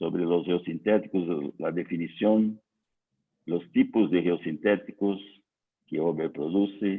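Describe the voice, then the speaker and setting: A man's very slow speech in a Portuguese accent, with ordinary pitch variation. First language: Portuguese (speaking Spanish). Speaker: civil engineer. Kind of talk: technical lecture. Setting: online conference. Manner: slow, hesitant.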